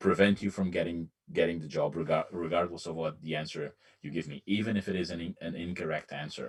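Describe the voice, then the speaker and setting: A man with a non-native accent talks at a moderate pace. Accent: nondescript foreign. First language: not English. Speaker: hiring manager on a cyber security panel. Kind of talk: panel discussion. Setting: remote live stream panel. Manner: halting.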